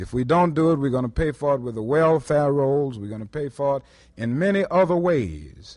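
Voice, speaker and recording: A Southern US accent at a moderate pace with ordinary pitch variation. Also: man, fairly high pitch for a man. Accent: American, Southern. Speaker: civil rights leader. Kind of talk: public speech. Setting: lecture hall recording, vintage audio.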